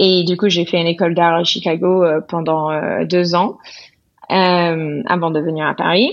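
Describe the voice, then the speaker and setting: At a fairly slow pace, a woman with a fairly low voice keeps her intonation fairly even and her loudness very even. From US South. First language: English (speaking French). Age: 30s. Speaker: painter and illustrator. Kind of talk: interview.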